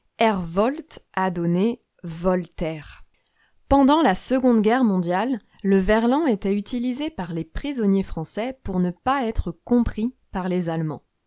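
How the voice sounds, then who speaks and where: A woman speaks very slowly at a medium pitch, her intonation lively and her tone dark and mellow. The recording is very clean with a silent background, and the sound is dry and close with no echo. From Paris suburbs, France. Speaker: French teacher podcaster. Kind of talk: scripted language lesson. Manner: clear, teacher-like.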